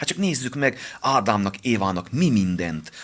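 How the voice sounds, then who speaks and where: With very wide pitch swings, a man talks at a moderate speed. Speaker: pastor and boxing coach. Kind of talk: radio interview, personal testimony.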